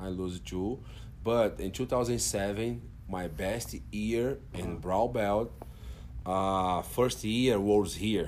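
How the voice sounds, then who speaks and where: Speaking very slowly with a Portuguese accent, a man uses a fairly low pitch and lively intonation. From Brazil, Brasilia. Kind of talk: casual interview. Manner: soft-spoken; halting.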